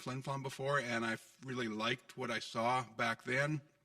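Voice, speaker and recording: This man talks with an unremarkable speaking voice, medium in pitch, at a fairly quick pace with ordinary pitch variation. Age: 60s. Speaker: council candidate. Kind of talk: candidates forum. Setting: city hall council chambers.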